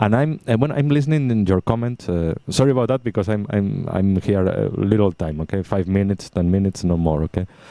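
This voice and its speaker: A man's dark, mellow voice at a fairly quick pace, lively in intonation, hardly pausing, dry and close with no echo. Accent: Spanish. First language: Spanish. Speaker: radio station technical support staff. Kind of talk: casual chat. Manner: halting.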